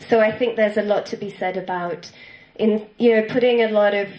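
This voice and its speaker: A woman talks at a moderate pace. The room echo is audible, and there is noticeable background noise. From Italy. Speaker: social entrepreneur. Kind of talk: conference talk.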